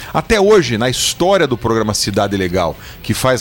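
Noticeable background noise runs behind speech with lively intonation at a moderate pace. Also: man. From Sorocaba, São Paulo state, Brazil. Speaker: state housing secretary. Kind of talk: interview.

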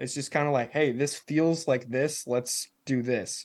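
A man holds a medium pitch at a moderate pace, his intonation fairly even. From Nashville, Tennessee, US South. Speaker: metal band musician. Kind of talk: casual interview. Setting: video call.

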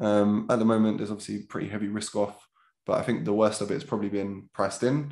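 Speaking very fast with a South London accent, a man keeps a fairly low pitch and fairly even intonation. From south London (Catford, Lewisham). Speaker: trader and trading educator. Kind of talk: casual interview.

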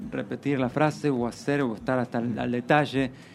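The speaker is a man with an ordinary speaking voice. He talks at medium pitch and a fairly quick pace. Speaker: actor and singer. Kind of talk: casual interview.

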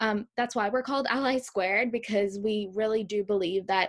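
With an ordinary speaking voice, a woman talks at a moderate pace in a fairly high pitch and fairly even intonation. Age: 20s. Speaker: podcast host. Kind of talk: casual chat.

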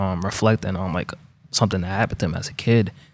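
A man is speaking. His pace is fairly quick. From Brockton, Massachusetts. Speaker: rapper. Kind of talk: casual interview. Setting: studio.

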